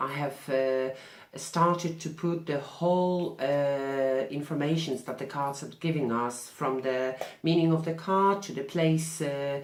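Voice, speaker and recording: Amid noticeable background noise and audible room echo, a woman with a non-native accent speaks fairly slowly in a very deep, low pitch with fairly even intonation. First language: not English. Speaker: tarot reader. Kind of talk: vlog answering questions. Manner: halting.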